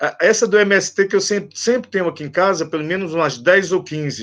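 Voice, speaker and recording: A man with a high pitch, lively intonation and a fairly quick pace. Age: 60s. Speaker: priest and activist. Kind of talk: interview. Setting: online live stream.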